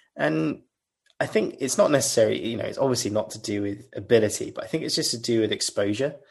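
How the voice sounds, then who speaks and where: The background is quiet. A man with a British accent talks at a very fast pace. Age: 30s. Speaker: legal engineer. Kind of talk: interview.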